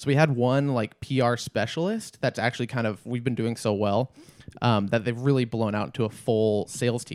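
This is a man with an unremarkable speaking voice and a medium pitch. He talks at a moderate pace with ordinary pitch variation. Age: 20s. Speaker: comedy podcast co-host. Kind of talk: casual chat.

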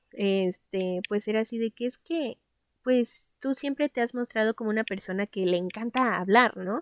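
A woman speaks at a fairly high pitch with ordinary pitch variation. The sound is dry and close with no echo against a quiet background. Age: 20s. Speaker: podcast host. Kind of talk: casual monologue. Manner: animated.

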